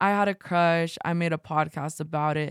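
A woman's plain, everyday voice, fairly low in pitch and fairly even in intonation, in a very clean, dry, close recording with a silent background and no echo. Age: 20s. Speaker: podcast host. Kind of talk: personal narration.

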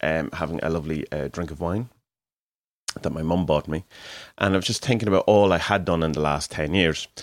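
The delivery moves at a fairly quick pace. It comes in an Irish accent. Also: man, very clean recording, silent background. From Ireland. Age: 40s. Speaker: podcaster and artist. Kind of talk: solo monologue. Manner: casual, hesitant with fillers.

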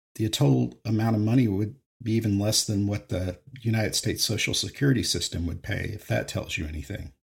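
Here a man speaks very fast in a fairly low, somewhat breathy voice. His pitch varies in an ordinary way, and the recording is very clean against a silent background. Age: 50s. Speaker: podcast host, retired psychotherapist. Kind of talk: solo monologue podcast.

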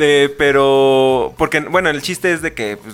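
A man's medium-pitched voice at a moderate pace, ordinary pitch variation, music playing in the background. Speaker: podcast co-host. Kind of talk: casual chat.

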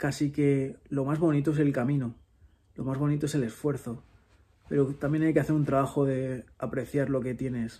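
A man with a fairly high pitch and a dark, mellow tone speaks at a moderate pace, somewhat breathy and in a monotone, flat intonation. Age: 30s. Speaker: podcast host. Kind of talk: solo monologue. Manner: reflective.

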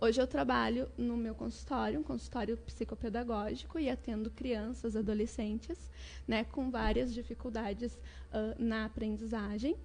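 A woman at a moderate pace with hardly any pauses. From Southern Brazil, Porto Alegre. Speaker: educator and children's author. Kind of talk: interview.

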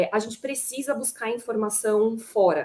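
At a moderate pace, a woman with a fairly high pitch speaks in a dark, mellow tone. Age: 30s. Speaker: panel moderator, HR manager. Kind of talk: panel discussion.

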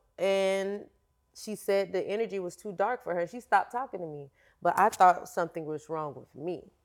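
In a very clean recording with a silent background, a woman with an unremarkable speaking voice talks at a moderate pace, her medium pitch showing ordinary variation. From Florida. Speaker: fitness coach. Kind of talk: interview conversation.

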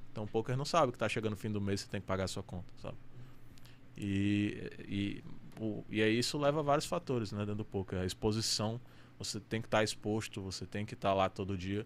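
The speaker has a normal speaking voice. Pitch variation is ordinary. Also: man, fairly low pitch for a man, fairly quick pace. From Amazonas, Brazil. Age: 20s. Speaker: professional poker player. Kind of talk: casual chat.

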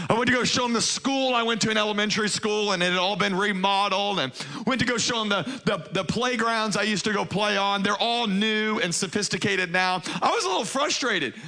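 A man's high-pitched, raised and projected voice, animated in tone, at a very fast pace with ordinary pitch variation and very even loudness, amid audible room echo and noticeable background noise. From US South, Baton Rouge, Louisiana. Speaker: pastor. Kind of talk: sermon. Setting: church stage with congregation.

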